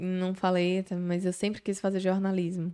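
With a very clean recording and a silent background, a woman speaks in a fairly low voice with a dark, mellow tone. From Bahia, Brazil. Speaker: social media influencer. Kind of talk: casual interview chat. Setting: studio. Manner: animated.

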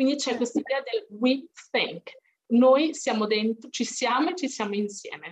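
A woman with a high voice speaks at a fairly slow pace, her intonation lively. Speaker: English tutor. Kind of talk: casual discussion of a book.

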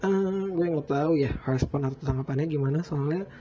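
Noticeable background noise is present. The pace is moderate. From Bandung, West Java, Indonesia. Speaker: podcaster. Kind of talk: casual solo monologue. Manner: casual, many fillers and restarts.

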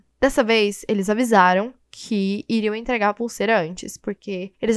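An animated, fairly high woman's voice, dry and close with no echo, on a very clean recording with a silent background. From Brazil, Goiânia. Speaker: podcast host. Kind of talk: casual solo monologue.

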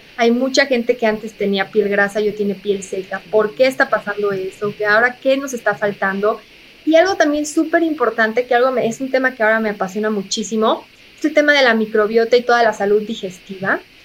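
At a fairly quick pace, a woman with an unremarkable speaking voice talks at a fairly high pitch with ordinary pitch variation. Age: 30s. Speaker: physician and health communicator. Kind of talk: interview.

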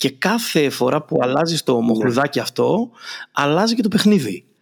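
Very wide swings in pitch from a man speaking at moderate speed, very clean recording, silent background. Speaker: podcast host and marketing consultant. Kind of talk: casual interview.

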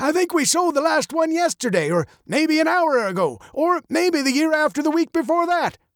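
This gravelly put-on character voice has a fairly bright tone, big pitch swings and a moderate pace, with a dry, close sound with no echo on a very clean recording with a silent background.

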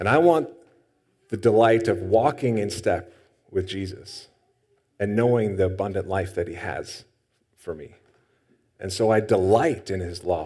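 A man with a fairly low pitch and a dark, mellow tone speaks at a moderate pace with ordinary pitch variation, long, frequent pauses and big swings in loudness, with audible room echo. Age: 30s. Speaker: pastor. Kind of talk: sermon.

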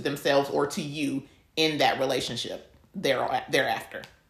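A woman's voice sits at a very deep, low pitch and shows ordinary pitch variation. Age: 30s. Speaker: podcast co-host. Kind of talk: casual chat.

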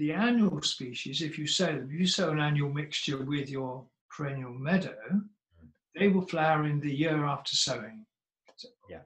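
A somewhat breathy man at a fairly high pitch, with ordinary pitch variation and a moderate pace. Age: 70s. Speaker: seed company founder. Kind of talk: casual interview conversation.

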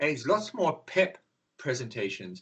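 A man with an Australian accent sounds somewhat breathy. His pitch swings very widely. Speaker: drugs counsellor and activist. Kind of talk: interview.

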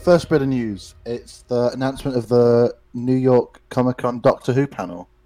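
With a Liverpool accent, a man speaks in a dark, mellow tone at a medium pitch. His pace is moderate and his intonation fairly even. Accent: Scouse. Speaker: podcast co-host. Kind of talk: casual chat.

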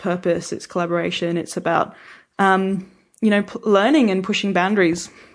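A woman speaks with an Australian accent at a medium pitch, in a monotone with flat intonation. The background is quiet. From rural New South Wales, Albury (born in England). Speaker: winemaker. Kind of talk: casual interview chat.

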